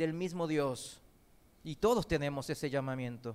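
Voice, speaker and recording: A man at a fairly slow pace on a very clean recording with a silent background. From Korean heritage, not raised in Korea; learned Spanish in Argentina. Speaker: preacher. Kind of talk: sermon.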